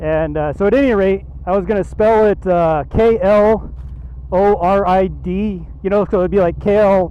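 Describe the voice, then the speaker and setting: A man's voice over noticeable background noise. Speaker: motorcycle vlogger. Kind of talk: casual chat. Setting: outdoors. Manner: monotone.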